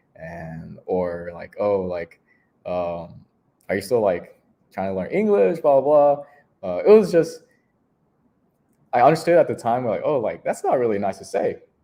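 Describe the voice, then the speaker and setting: A man with a dark, mellow tone at medium pitch talks at a fairly slow pace with long, frequent pauses. His voice makes very wide pitch swings and big swings in loudness. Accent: Vietnamese. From Houston, Texas. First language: Vietnamese. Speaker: recreation staff member. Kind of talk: interview storytelling. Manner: casual with many fillers.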